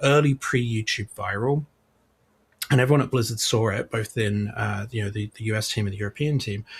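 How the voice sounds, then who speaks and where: Somewhat breathy, a man with a British accent speaks with ordinary pitch variation in a dry, close sound with no echo. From UK. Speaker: games publishing executive. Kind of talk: podcast interview.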